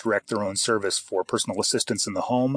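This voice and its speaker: A man speaks with an American accent. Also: dry, close sound with no echo. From Idaho and Canada. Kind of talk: interview. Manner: hesitant, many fillers.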